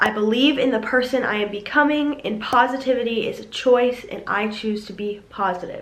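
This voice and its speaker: Over noticeable background noise, a woman with an American accent speaks in a high voice with ordinary pitch variation and hardly any pauses. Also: moderate pace, big swings in loudness. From South Carolina. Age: 20s. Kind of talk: motivational talk to camera.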